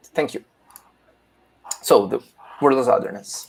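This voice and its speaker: A man talks with a Portuguese accent. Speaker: philosophy teacher presenting a paper. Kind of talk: academic conference talk. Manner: halting, many fillers.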